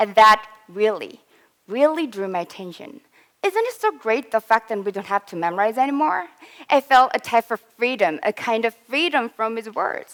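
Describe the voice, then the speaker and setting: A woman's fairly high voice with a slight Korean accent, lively intonation and a moderate pace, in a dry, close sound with no echo. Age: 20s. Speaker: English learner, student. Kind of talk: presentation.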